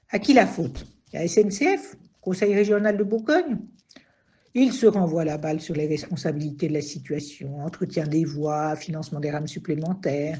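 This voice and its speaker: A somewhat breathy woman's voice of fairly low pitch, ordinary pitch variation and big swings in loudness. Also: moderate pace. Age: 60s. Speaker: retiree, train passenger. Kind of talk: testimony.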